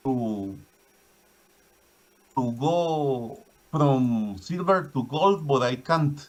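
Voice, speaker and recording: A man's fairly high, lively voice at a very slow pace, broken by long, frequent pauses. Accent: Spanish. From Guatemala. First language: Spanish. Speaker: caller, viewer of the stream. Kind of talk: casual chat. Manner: halting.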